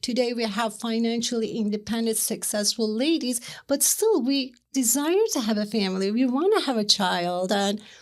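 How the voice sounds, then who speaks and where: On a very clean recording with a silent background, a woman with a Turkish accent speaks at a moderate pace and a fairly high pitch, with ordinary pitch variation and hardly any pauses. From Turkey, Istanbul. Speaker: matchmaker. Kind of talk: interview.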